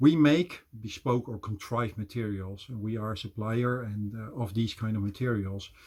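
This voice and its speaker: A man with a Dutch accent talks at a moderate pace, somewhat breathy and with hardly any pauses. The recording is very clean, with a silent background. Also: medium pitch for a man, ordinary pitch variation. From Netherlands. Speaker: business development manager. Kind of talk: presentation.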